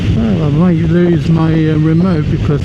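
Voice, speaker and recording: Moderate pace and fairly high pitch from a man, amid noticeable background noise and audible room echo. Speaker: motorcycle vlogger. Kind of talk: casual vlog narration. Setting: outdoors.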